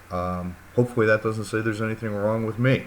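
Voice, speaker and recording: Audible room echo surrounds a man with an American accent. His pitch is fairly low. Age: 60s. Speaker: university lecturer. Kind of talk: lecture. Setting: recorded course video. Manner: casual, hesitant with fillers.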